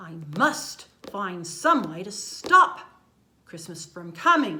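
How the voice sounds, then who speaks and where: A woman puts on a growling character voice. She speaks very slowly. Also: medium pitch for a woman. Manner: grumpy, scheming.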